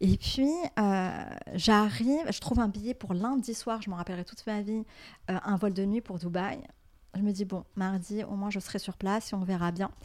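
In a very clean recording with a silent background, a woman speaks at a medium pitch and a moderate pace. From Morocco. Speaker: tech startup founder. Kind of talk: interview. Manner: hesitant, many fillers and repetitions.

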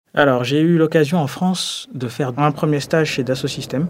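Over noticeable background noise, a man talks at a moderate pace in a fairly high pitch with fairly even intonation. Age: 20s. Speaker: energy consultant. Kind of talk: testimony.

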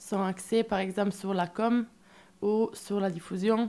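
Her voice is medium in pitch with a dark, mellow tone. The woman speaks at a very slow pace in a flat monotone. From Italy. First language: Italian (speaking French). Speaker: musician, storyteller in a band. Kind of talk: radio interview. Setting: radio studio.

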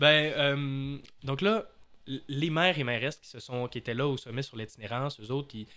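A man speaks at a moderate pace in a medium pitch, with ordinary pitch variation and a bright, sharp tone. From Quebec, Saguenay. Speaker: podcast host. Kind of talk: casual podcast chat.

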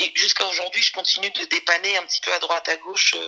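A woman talks at a fairly quick pace and a medium pitch. It is a plain, everyday voice. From France, Saint-Denis. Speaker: music manager and trainer. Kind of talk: interview.

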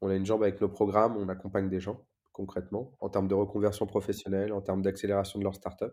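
A man speaks at a very fast pace in a fairly low pitch. His tone is dark and mellow, with flat, monotone intonation. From Paris suburbs, France (Évry-Courcouronne). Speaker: nonprofit co-founder. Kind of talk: interview.

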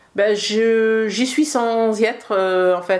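A woman talks with fairly even intonation. Audible room echo surrounds her voice. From western France. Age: 50s. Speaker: tea room owner and cook. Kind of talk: interview. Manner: hesitant, many fillers.

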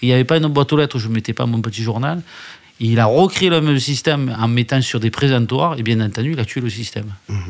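Over noticeable background noise, a man speaks at a very fast pace with a medium pitch and ordinary pitch variation. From southern France (Alès, Gard). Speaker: newspaper founder and publisher. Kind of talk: interview. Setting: hotel lounge.

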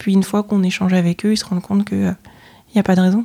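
A woman speaks at a very fast pace and medium pitch. Her tone is dark and mellow, her intonation monotone and flat. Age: 30s. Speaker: chartered accountant and auditor. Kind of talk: interview. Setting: office. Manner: hesitant, many fillers.

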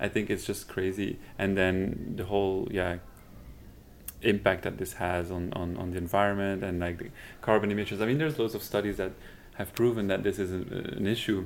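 With fairly even intonation, a man speaks in a very deep, low pitch. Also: moderate pace. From Belgium. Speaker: fashion designer and shoe brand co-founder. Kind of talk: casual interview.

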